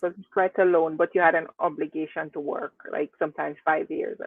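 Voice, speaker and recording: Her volume rises and falls sharply. The woman talks fairly quickly. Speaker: community channel interviewer. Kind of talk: interview host.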